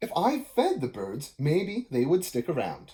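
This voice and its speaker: In a put-on character voice, someone talks at a moderate pace with a gruff, middle-pitched sound. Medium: read story. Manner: gruff, cranky.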